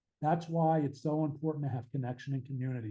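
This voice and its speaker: A man with an American accent talks very fast in a fairly high voice with a dark, mellow tone. His delivery is somewhat breathy, with fairly even intonation. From Pittsburgh, Pennsylvania, US. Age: 60s. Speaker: author and addiction recovery advocate. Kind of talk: podcast interview.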